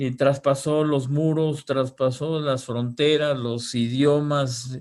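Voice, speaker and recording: At a very slow pace, a man speaks at medium pitch with ordinary pitch variation. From Mexico. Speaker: radio broadcaster. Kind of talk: interview answer.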